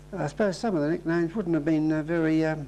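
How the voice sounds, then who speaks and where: This man speaks in a New Zealand accent at a fairly high pitch with fairly even intonation. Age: 70s. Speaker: oral history interviewee. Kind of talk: interview.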